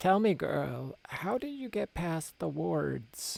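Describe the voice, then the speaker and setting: A croaky, put-on character voice at a very slow pace. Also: man. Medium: read story.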